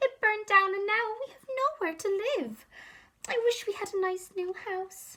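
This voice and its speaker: Using a put-on character voice, a woman sounds squeaky at an extremely high pitch. Her pace is moderate. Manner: sad, worried.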